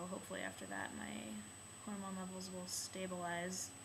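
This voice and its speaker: Over noticeable background noise and audible room echo, a woman talks at a moderate pace with a medium pitch. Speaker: video blogger. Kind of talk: casual vlog. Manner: hesitant, many filler ums.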